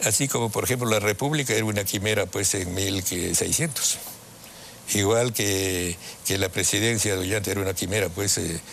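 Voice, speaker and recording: Loudness stays very even as the voice moves at a moderate pace with ordinary pitch variation over noticeable background noise. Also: man, fairly low pitch for a man. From Peru. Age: 80s+. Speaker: father of a politician, lawyer and ideologue. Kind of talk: interview. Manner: halting.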